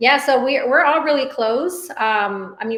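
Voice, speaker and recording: A Spanish accent with ordinary pitch variation. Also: woman. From Dallas, Texas. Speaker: business owner. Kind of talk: interview.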